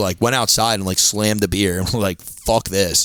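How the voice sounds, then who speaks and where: At a moderate pace, a man talks with a Philadelphia accent. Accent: Delco. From Delaware County, Pennsylvania. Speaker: stand-up comedian. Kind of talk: casual chat.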